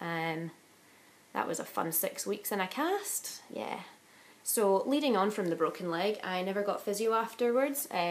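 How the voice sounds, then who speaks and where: Speech comes at a moderate pace in a Glaswegian accent. Noticeable background noise sits under the voice. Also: woman, medium pitch for a woman. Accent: Glaswegian Scottish. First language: Italian. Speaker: vlogger. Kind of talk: casual chat.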